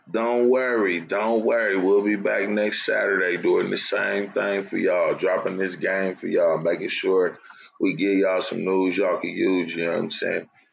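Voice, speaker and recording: With an American accent, a man speaks with hardly any pauses over noticeable background noise. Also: moderate pace. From California. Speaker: podcast co-host. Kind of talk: casual comedic banter.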